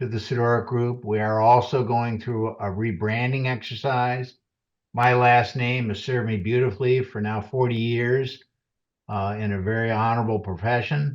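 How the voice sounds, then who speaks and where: Over a quiet background, a man with a plain, everyday voice speaks at a moderate pace with medium pitch and fairly even intonation. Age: 60s. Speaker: financial advisor. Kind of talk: webinar presentation. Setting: webinar.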